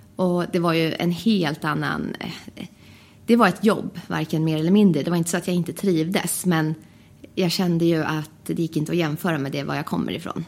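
A woman talks at a fairly low pitch with vocal fry. Her intonation is fairly even. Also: moderate pace. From Sweden, Västerås. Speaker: flight attendant. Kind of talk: casual interview. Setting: studio.

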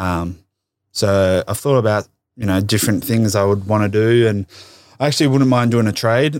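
A man with an Australian accent talks at a fairly low pitch. The recording is very clean, the background silent. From Tasmania, Australia. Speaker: professional MMA fighter. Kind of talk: casual interview. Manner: laid-back.

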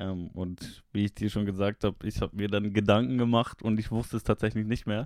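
A man's fairly low, monotone voice with flat intonation and a slight Swiss accent, at a fairly quick pace, in a very clean recording with a silent background. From Switzerland. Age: 20s. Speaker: streamer and chat regular. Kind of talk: casual chat.

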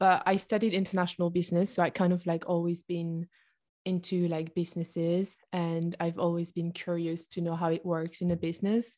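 On a very clean recording with a silent background, a speaker with a French accent talks at a fairly quick pace in a dark, mellow, monotone voice with flat intonation. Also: woman, fairly low pitch for a woman. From southern France. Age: 20s. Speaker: entrepreneur. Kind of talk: interview. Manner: halting.

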